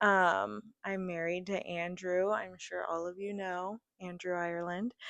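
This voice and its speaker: Her voice is fairly low in pitch for a woman, with fairly even intonation. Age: 20s. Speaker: podcast co-host. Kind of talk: casual chat. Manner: loud, outgoing.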